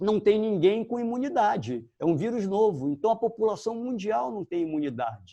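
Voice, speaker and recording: Over a quiet background, a man with a high pitch and a dark, mellow tone talks at a moderate pace with lively intonation and hardly any pauses. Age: 60s. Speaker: dentist. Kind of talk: informational live stream talk. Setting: live video stream. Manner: hesitant, many filler pauses.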